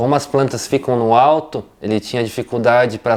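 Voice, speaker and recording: A man at medium pitch and moderate pace, with an ordinary speaking voice. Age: 30s. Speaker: interviewee, family member of a plant grower. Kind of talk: interview.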